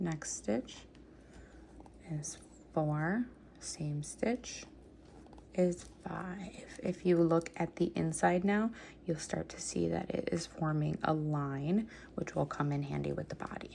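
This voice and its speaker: Soft-spoken and very deep in pitch, a woman talks at a very slow pace with long, frequent pauses and lively intonation. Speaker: crochet instructor. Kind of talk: tutorial. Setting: home at night. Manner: counting stitches steadily.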